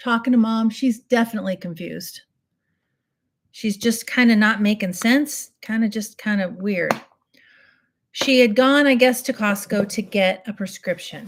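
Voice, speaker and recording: A woman's somewhat breathy, fairly high voice in an animated tone, at a moderate pace with ordinary pitch variation and long, frequent pauses, on a very clean recording with a silent background. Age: 60s. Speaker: beauty livestreamer. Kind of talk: casual makeup tutorial with storytelling. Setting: live stream. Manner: chatty, animated.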